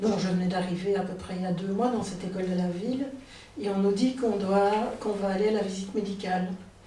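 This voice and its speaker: A woman talking at a very fast pace with fairly even intonation, against noticeable background noise and audible room echo. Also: medium pitch for a woman. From Belgium, near Liège. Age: 60s. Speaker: storyteller. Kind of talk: personal storytelling. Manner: hesitant, many filler sounds.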